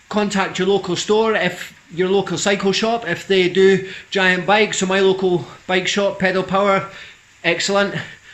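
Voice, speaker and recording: There is noticeable background noise and audible room echo as a man speaks at a high pitch. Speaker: vlogger, cyclist. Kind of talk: casual vlog monologue. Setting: garage. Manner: fast.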